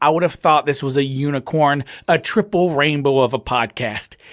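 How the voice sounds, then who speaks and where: On a very clean recording with a silent background, a man with an American accent talks at a moderate pace and fairly high pitch, the sound dry and close with no echo. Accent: rural Southern, self-described bumpkin. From US South, North Louisiana. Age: 30s. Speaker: podcast host. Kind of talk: casual chat. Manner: slurred words, pops plosives.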